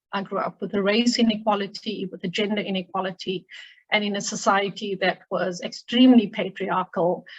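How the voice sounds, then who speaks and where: A woman's somewhat breathy, medium-pitched voice at a fairly quick pace, with big swings in loudness. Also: fairly even intonation. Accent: South African. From South Africa. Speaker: human rights lawyer. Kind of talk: seminar talk.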